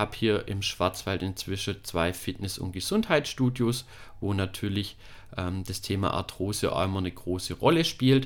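A man's fairly low voice moves at a moderate pace with ordinary pitch variation, captured on a very clean recording with a silent background. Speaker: physiotherapist and fitness studio owner. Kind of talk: podcast introduction. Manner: hesitant, with frequent fillers.

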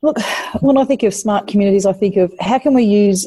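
A woman with an Australian accent speaks at a medium pitch with ordinary pitch variation, her dark, mellow tone somewhat breathy. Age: 50s. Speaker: mayor. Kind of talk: interview.

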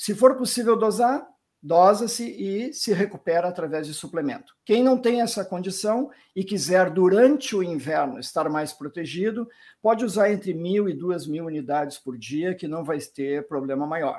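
Lively intonation at a moderate pace comes through on a very clean recording with a silent background. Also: man, high pitch for a man. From southern Brazil, Rio Grande do Sul. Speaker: physician, rheumatologist. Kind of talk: interview.

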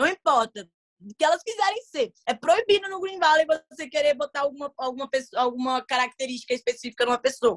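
Animated in tone, a woman speaks at a fairly quick pace in a high voice with lively intonation. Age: 20s. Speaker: content creator and voice dubber. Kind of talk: casual chat.

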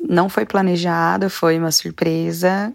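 A woman's voice, fairly low in pitch. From interior of São Paulo state, Brazil. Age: 20s. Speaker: singer and educator, mother. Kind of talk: interview conversation.

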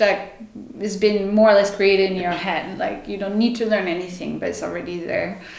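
A woman talks at a medium pitch in a room with audible echo. Noticeable background noise runs underneath. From France. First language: French. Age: 30s. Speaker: yoga teacher. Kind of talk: casual interview. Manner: spontaneous, hesitant with fillers.

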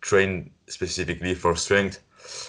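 This man has a French accent. He talks very slowly. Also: quiet background. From France. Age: 20s. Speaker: podcast co-host and coach. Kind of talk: casual interview. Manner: halting.

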